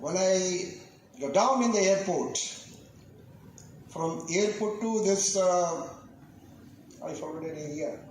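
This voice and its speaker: Against noticeable background noise and audible room echo, a man with a high pitch talks at a very slow pace, with long, frequent pauses and ordinary pitch variation. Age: 70s. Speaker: senior club member, chief guest. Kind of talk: ceremony speech. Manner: halting.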